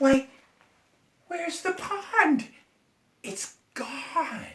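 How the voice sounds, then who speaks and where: A man puts on a character voice. His pitch is extremely high. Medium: read story.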